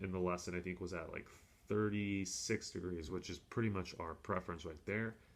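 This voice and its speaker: Fairly even in intonation, this man's voice sits at a very deep, low pitch. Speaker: golf coach. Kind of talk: tutorial. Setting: hotel room.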